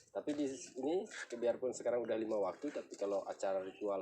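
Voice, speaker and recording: A man with a Lombok accent. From Lombok, Indonesia (Sasak). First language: Sasak (speaking Indonesian). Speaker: local village guide. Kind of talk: explanatory tour talk.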